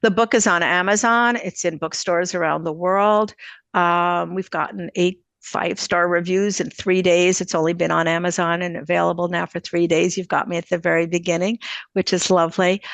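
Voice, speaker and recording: In a normal speaking voice, the speaker goes at a moderate pace with fairly even intonation against a quiet background. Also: woman, fairly low pitch for a woman. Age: 60s. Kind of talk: interview.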